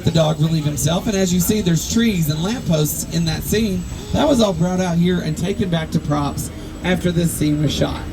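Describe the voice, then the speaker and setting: A high-pitched man with a Southern US accent speaks at a moderate pace with ordinary pitch variation and very even loudness, amid audible room echo and noticeable background noise. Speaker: studio tour guide. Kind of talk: guided tour commentary.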